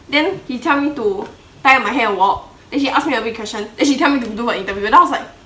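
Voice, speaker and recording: A woman talks very fast at a high pitch with lively intonation. Audible room echo and noticeable background noise are present. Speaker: YouTuber and model. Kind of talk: casual chat.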